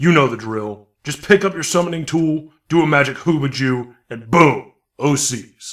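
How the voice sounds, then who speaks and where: A man does a put-on character voice at a fairly high pitch and moderate pace, with ordinary pitch variation and big swings in loudness, in a very clean recording with a silent background. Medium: audio drama. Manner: crude, impatient, bullying.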